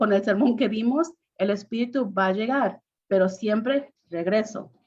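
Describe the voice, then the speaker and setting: A woman's fairly high-pitched voice carries ordinary pitch variation over a quiet background. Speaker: priest on preaching panel. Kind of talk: panel discussion. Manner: halting, many repetitions.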